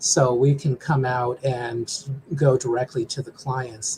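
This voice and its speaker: A somewhat breathy voice comes through. It belongs to a man. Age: 60s. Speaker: small business development director. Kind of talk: interview. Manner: halting.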